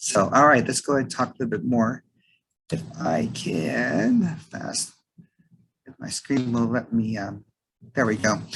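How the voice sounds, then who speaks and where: A man's medium pitch with vocal fry, lively intonation, a fairly slow pace, and long, frequent pauses. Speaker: staffing firm owner. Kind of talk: presentation on video call. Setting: zoom call. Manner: hesitant, many fillers.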